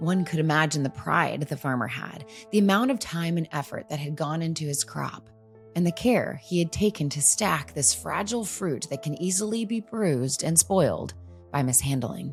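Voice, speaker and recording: Over music in the background, a woman talks with lively intonation at a very deep, low pitch. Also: moderate pace. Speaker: podcast host. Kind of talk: podcast intro narration.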